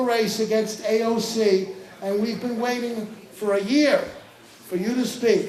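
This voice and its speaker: Fairly slow delivery against noticeable background noise. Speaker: event host. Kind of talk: introduction at political event.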